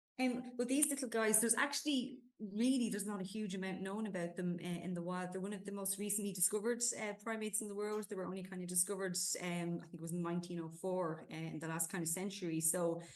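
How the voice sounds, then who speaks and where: Very fast speech in an Irish accent with ordinary pitch variation. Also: woman, medium pitch for a woman. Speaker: zoo conservation coordinator. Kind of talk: podcast interview. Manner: hesitant, many fillers.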